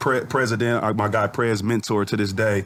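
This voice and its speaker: This man has a plain, everyday voice at medium pitch. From US Pacific Northwest (Federal Way, Washington; born St Louis, moved at 10). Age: 40s. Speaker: rapper and clothing entrepreneur. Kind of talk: podcast interview, telling life story. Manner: casual, with frequent fillers and restarts.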